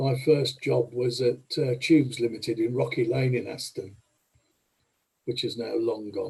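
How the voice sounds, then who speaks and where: A man's dark, mellow voice with vocal fry, medium pitch, fairly even intonation and a moderate pace. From Birmingham, England. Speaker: committee member. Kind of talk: casual chat.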